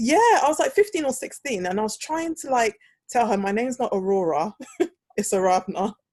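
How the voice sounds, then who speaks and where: A woman with a slight British accent, quick-paced and lively in intonation, in a dry, close sound with no echo against a quiet background. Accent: slight British twang. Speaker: podcast host, speech therapist. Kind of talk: casual chat. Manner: animated.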